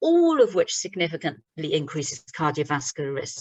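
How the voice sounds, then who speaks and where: A woman speaks with a British accent and very wide pitch swings. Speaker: doctor giving a webinar talk. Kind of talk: lecture. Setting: online webinar. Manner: fast.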